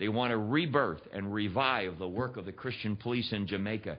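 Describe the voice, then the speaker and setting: A man with an American accent speaks at a moderate pace in a fairly low pitch, with ordinary pitch variation and an ordinary speaking voice. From Pennsylvania, US. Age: 60s. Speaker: guest preacher. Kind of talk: sermon. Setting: church.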